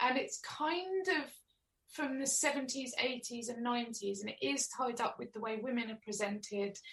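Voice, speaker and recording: Here a woman speaks with an Essex accent in a high pitch. Her pace is moderate, and her pitch varies in an ordinary way. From Essex, England (Chelmsford). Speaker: author. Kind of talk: interview.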